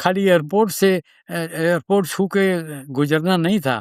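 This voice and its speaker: A man talks at a high pitch with ordinary pitch variation. The recording is very clean, dry and close, with no echo and a silent background. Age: 80s+. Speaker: agricultural scientist. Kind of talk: interview. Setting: studio.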